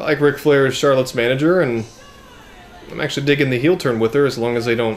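There is music in the background. A man speaks at a very fast pace. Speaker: wrestling fan reviewer. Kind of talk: angry rant reacting to a wrestling match, indignant and cursing; video reaction/review. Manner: animated, loud, exasperated and sarcastic. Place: home room. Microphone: camera far.

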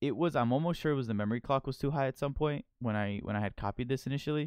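This man's voice sits at a medium pitch with ordinary pitch variation, recorded very cleanly against a silent background. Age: 20s. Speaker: gaming tech youtuber. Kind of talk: tutorial. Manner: hesitant, filler-heavy.

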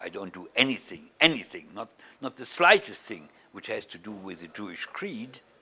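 A man with a medium pitch, vocal fry and a bright, sharp tone talks at a moderate pace, with very wide pitch swings and big swings in loudness. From Germany. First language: German. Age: 70s. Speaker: Holocaust survivor and activist. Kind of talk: interview. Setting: East Jerusalem, on location. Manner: halting, many repetitions.

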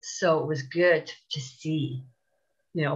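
A woman's somewhat breathy voice with fairly even intonation against a quiet background. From Canada. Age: 50s. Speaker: TEFL course graduate, supply teacher. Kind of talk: interview. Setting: video call. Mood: warm, upbeat. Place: home room. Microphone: earbuds.

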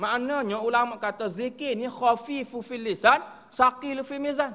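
A man speaks at an extremely high pitch, his tone bright and sharp. His pace is fairly slow. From Kelantan, Malaysia; Malaysia. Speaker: religious teacher. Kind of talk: religious lecture. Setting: prayer hall. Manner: halting, with fillers. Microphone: podium.

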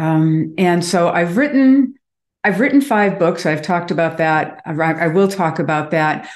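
Over a quiet background, a woman with an American accent talks at a moderate pace in a fairly low pitch with lively intonation. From US Midwest, Chicago. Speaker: author and Reiki master. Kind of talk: interview. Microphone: video call.

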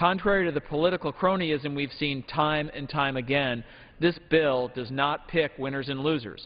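Using ordinary pitch variation, a man with an American accent talks at a moderate pace. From Michigan. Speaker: member of Congress. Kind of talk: floor speech in legislative debate. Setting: House chamber. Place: hall. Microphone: podium.

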